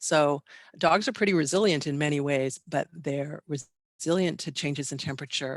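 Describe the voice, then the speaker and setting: A woman's very deep, low voice with vocal fry, ordinary pitch variation and a fairly quick pace, in a dry, close sound with no echo. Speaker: animal behavior expert. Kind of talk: webinar lecture. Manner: fast.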